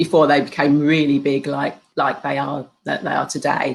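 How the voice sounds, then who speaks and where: Here a woman talks in a British accent. Her pace is moderate. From UK. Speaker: spiritual healer and hypnotherapist. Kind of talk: interview. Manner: halting, with many fillers.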